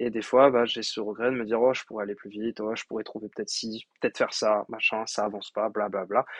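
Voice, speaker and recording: Flat, monotone delivery at a fairly quick pace, with a dry, close sound, no echo and a quiet background. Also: man. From France. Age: 20s. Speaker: podcast host and coach. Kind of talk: solo podcast monologue. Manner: hesitant with frequent fillers.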